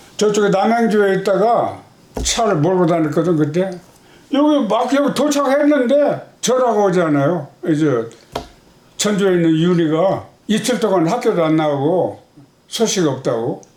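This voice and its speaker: A man with a high pitch talks at a fairly slow pace, his pitch swinging very widely while his loudness stays very even, with long, frequent pauses. Audible room echo and noticeable background noise are present. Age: 80s+. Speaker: father of a missing person. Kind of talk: interview. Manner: halting.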